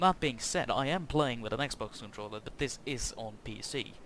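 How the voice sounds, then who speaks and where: Music plays behind this speaker, a man. His pitch shifts in an ordinary way. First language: Norwegian. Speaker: gaming YouTuber. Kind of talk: gameplay commentary. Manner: halting.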